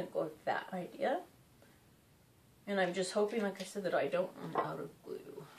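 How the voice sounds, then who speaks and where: There is noticeable background noise as a woman talks at a moderate pace and medium pitch. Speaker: DIY crafts creator. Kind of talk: tutorial. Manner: casual, hesitant with fillers.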